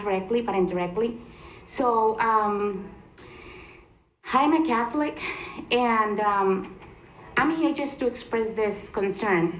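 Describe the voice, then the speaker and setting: With a Spanish accent, a woman speaks very slowly at a fairly high pitch amid audible room echo. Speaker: resident giving public comment. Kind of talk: public comment at council meeting. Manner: halting, many fillers.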